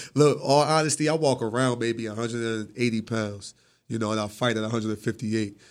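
The speaker has an American accent and a fairly quick pace. Pitch variation is ordinary. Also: man, medium pitch for a man. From Atlantic City, New Jersey. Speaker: professional boxer. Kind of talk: casual interview. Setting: radio studio.

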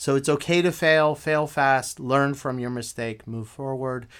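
On a very clean recording with a silent background, a normal speaking voice with an American accent moves at a moderate pace with ordinary pitch variation. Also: man. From Afghanistan and US. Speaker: game designer and teacher. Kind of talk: casual interview chat. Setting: studio.

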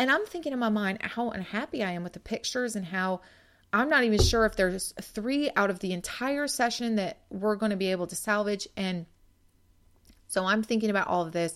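In a very clean recording with a silent background, a woman with an unremarkable speaking voice talks at a fairly quick pace, fairly high in pitch, with ordinary pitch variation. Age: 40s. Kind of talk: devotional podcast monologue. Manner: conversational.

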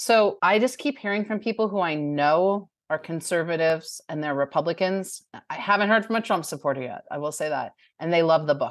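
A woman with a plain, everyday voice speaks at a fairly quick pace and a fairly low pitch. Her intonation is lively, and the background is quiet. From New Jersey. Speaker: author. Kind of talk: interview.

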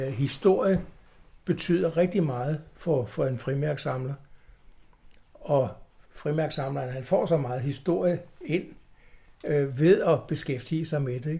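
Very slowly, with long, frequent pauses, a man speaks in a dark, mellow, somewhat breathy tone at a fairly high pitch with ordinary pitch variation. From Copenhagen, Denmark. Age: 70s. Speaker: stamp collector, club chairman. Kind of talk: interview. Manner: halting.

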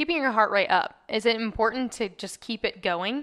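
A woman speaks in a Southern US accent with a bright, sharp tone. Her pitch varies in an ordinary way. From US South. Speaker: podcast host. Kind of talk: casual interview.

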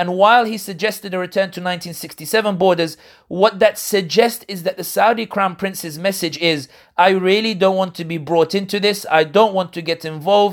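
In a London accent, a man with a high pitch talks at a fairly quick pace with fairly even intonation on a very clean recording with a silent background. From London, England. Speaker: political analyst and commentator. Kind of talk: interview.

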